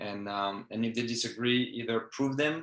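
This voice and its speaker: With a French accent, a man talks at a moderate pace and a medium pitch. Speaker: fencing coach. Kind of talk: interview. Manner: halting.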